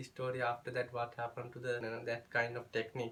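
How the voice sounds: A man speaks at a medium pitch in a fairly bright tone. His monotone, flat intonation carries audible room echo.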